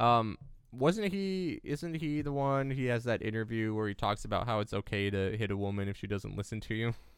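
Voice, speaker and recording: With lively intonation and a medium pitch, a man talks at a fairly quick pace in a plain, everyday voice on a very clean recording with a silent background. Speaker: podcast host. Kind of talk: casual chat.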